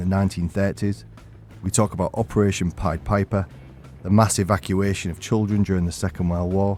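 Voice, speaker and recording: A man's fairly low voice goes at a fairly quick pace while music plays in the background. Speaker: podcast host, former firefighter and soldier. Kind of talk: podcast intro narration.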